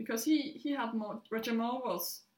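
With a Danish accent, a woman speaks at a moderate pace in a fairly high voice. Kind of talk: casual chat.

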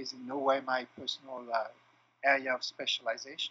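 Speaking with a French accent, a man uses a fairly high pitch at a moderate pace. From France. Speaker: clinical psychologist and trainer. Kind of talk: interview. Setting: remote call.

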